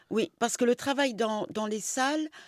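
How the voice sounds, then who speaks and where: A woman speaks with a dry, close sound and no echo, on a very clean recording with a silent background. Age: 60s. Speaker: coaching client, shop owner. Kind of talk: testimony interview. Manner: hesitant, with many fillers.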